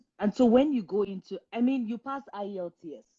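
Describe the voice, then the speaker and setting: A woman with a Nigerian accent speaks in a dark, mellow tone. The sound is dry and close with no echo, over a quiet background. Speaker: career coach. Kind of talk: live stream Q&A advice. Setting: Instagram live stream.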